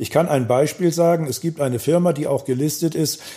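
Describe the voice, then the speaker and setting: With a Hamburg accent, a man talks at a moderate pace and ordinary pitch variation against noticeable background noise. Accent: Hamburg accent, clearly audible. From Hamburg (Volksdorf), northern Germany. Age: 60s. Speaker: pub owner and local web platform founder. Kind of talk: casual interview.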